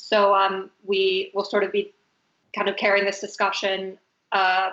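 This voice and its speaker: A woman speaks at a medium pitch with a monotone, flat intonation and very even loudness. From US, Venezuelan family. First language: Spanish. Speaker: fashion designer, talk moderator. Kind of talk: panel discussion on video call. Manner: hesitant, many fillers.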